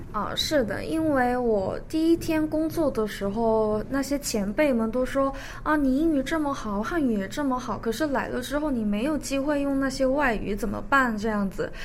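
A high-pitched woman at a moderate pace with ordinary pitch variation, with audible room echo and noticeable background noise. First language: Korean (speaking Chinese). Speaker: recent graduate, law office employee. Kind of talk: radio interview.

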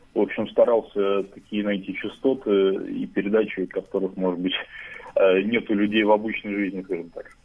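In a flat, monotone delivery, a man with a fairly low voice talks at a moderate speed. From Russia, Saint Petersburg. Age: 20s. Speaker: radio listener and musician. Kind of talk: interview. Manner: halting.

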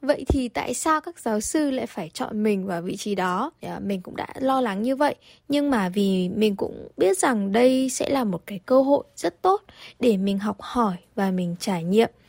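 At a fairly slow pace, an ordinary speaking voice comes through a very clean recording with a silent background and a dry, close sound with no echo. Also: woman, fairly high pitch for a woman, lively intonation. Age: 20s. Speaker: airline tourism graduate, former airline intern. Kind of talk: radio interview.

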